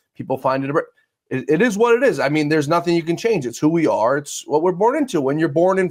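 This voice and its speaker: With a New York accent, a man speaks at a high pitch. His intonation is lively. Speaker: podcast host. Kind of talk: interview. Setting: studio. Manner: blunt, fast-paced.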